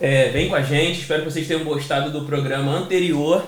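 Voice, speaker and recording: A man talks in a fairly high pitch with a Rio de Janeiro accent. Noticeable background noise and audible room echo fill the recording. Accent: carioca accent, hissing s. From Rio de Janeiro, Brazil. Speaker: podcast host. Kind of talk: casual interview. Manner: hesitant, fillers.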